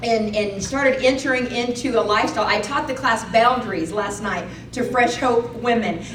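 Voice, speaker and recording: The tone is animated, at a moderate pace. Noticeable background noise and audible room echo fill the recording. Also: woman, fairly high pitch for a woman, ordinary pitch variation. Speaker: speaker sharing testimony. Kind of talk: testimony. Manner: loud.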